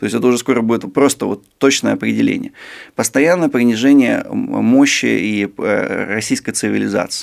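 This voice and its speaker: At a moderate pace, a man talks over a quiet background. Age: 30s. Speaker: sinologist, China expert; guest. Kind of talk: interview. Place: studio. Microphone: studio mic.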